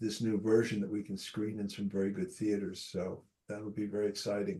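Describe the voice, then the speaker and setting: Fairly low-pitched, dark and mellow male voice, monotone and flat, at a fairly quick pace. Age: 80s+. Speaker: filmmaker. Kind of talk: casual chat. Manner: halting, many repeated words.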